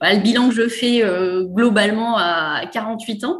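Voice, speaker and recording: A woman's voice, fairly high in pitch and somewhat breathy, with ordinary pitch variation. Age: 40s. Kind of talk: casual interview. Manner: hesitant, many fillers.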